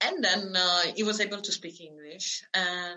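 A woman in an Italian accent, fairly low-pitched and monotone with flat intonation, at a fairly slow pace. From Italy (born in Calabria, raised near Florence). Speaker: expat living abroad. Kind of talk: casual interview.

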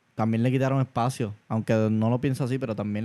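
The recording is very clean with a silent background. A man with a dark, mellow tone speaks very fast in a monotone, flat delivery. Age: 40s. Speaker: podcast co-host. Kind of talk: casual chat.

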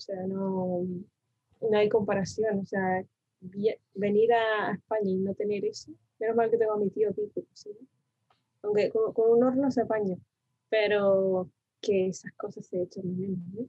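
The speaker talks at a fairly slow pace with long, frequent pauses. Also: woman, medium pitch for a woman. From Argentina, Buenos Aires province (Mar del Plata area), moved to Tenerife at 7. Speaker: designer, design contest winner. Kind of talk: interview.

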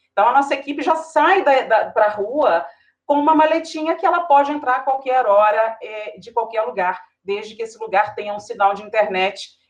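Woman's voice with lively intonation, a moderate pace and big swings in loudness. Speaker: TV news anchor. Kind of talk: panel discussion.

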